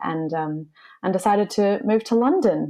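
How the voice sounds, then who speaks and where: Speaking with an Australian accent at a moderate pace, the voice has a dark, mellow tone and ordinary pitch variation over a quiet background. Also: woman. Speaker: classical singer. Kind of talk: casual chat.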